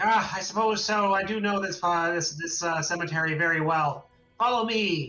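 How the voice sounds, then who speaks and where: Putting on a character voice, a man speaks at a moderate pace with a high pitch and ordinary pitch variation over faint music in the background. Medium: actual play.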